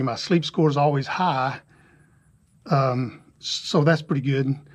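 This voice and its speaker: The speaker sounds somewhat breathy, with ordinary pitch variation. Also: man. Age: 60s. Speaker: retired cyclist vlogger. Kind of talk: casual vlog talk. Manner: casual with fillers.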